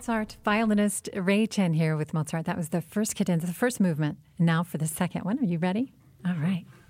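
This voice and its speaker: A woman's somewhat breathy, medium-pitched voice at a fairly quick pace. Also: ordinary pitch variation. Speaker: radio host. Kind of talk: radio interview.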